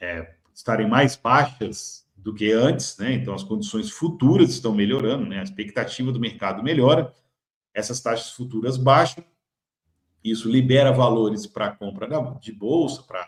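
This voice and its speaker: The voice is somewhat breathy, moves at a moderate pace, and shows big swings in loudness. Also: man, medium pitch for a man, ordinary pitch variation. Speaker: market commentary host. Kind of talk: market commentary video.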